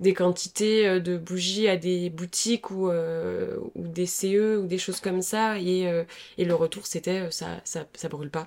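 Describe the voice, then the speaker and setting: The delivery comes at a very slow pace with a monotone, flat intonation. It is a very clean recording with a silent background. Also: woman. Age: 20s. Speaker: young entrepreneur, company co-founder. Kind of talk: casual interview.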